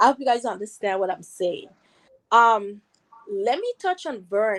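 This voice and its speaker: Moderate pace and ordinary pitch variation in a woman's fairly high voice. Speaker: viewer calling in. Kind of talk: casual chat.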